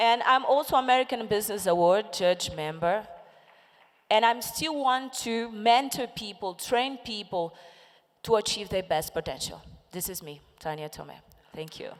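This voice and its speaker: A woman with a Portuguese accent and fairly high pitch, lively intonation, big swings in loudness and a moderate pace. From Lusophone Africa. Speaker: entrepreneur and women's empowerment founder. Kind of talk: panel discussion.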